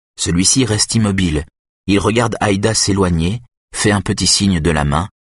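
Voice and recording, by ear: In a quiet background, a person reads aloud in a natural voice, with ordinary pitch variation.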